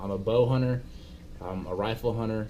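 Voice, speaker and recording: Speaking at a moderate pace with a Texan accent, a man uses a fairly low voice, and the room echo is audible. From Texas (Abilene). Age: 20s. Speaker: vlogger, hunting guide. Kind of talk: casual self-introduction vlog. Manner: halting, many fillers.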